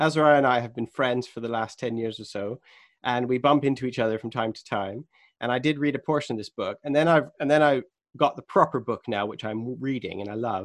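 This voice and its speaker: A man with an ordinary speaking voice talks at a fairly quick pace in a medium pitch with ordinary pitch variation and big swings in loudness over a quiet background. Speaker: podcast interviewer. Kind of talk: interview.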